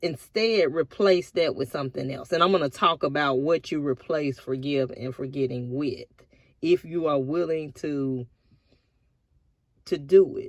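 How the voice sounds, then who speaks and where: A woman with a very deep, low pitch and a relaxed tone, in a Southern US accent. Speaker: vlogger. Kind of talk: casual vlog monologue. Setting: in a car at a park by the river.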